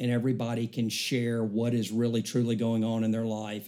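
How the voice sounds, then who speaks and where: This man's voice has a medium pitch and a dark, mellow tone. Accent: Southern US. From US South, Alabama. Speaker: church member. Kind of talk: casual chat.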